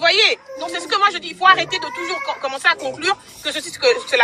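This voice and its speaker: A raised, projected voice comes through over noticeable background noise. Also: woman. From DR Congo. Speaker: caller. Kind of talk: heated debate. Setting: in a car. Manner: loud; halting.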